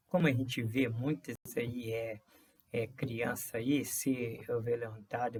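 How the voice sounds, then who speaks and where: Marked by vocal fry, a man's medium-pitched voice moves at a very slow pace with fairly even intonation. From rural Brazil. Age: 60s. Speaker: vlogger. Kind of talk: personal monologue. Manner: halting, many fillers and repetitions.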